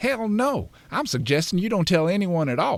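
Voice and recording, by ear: A man's put-on character voice, high-pitched with vocal fry and big pitch swings, at a moderate pace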